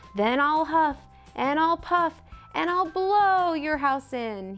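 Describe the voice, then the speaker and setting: Growling in a put-on character voice, a woman speaks at a fairly slow pace over clear background music. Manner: threatening.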